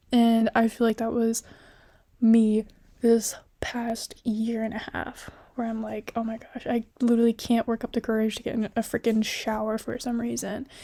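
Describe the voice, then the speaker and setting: Someone whispers at a moderate pace in a very clean recording with a silent background. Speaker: college student. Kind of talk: casual talk to camera. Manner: whispery.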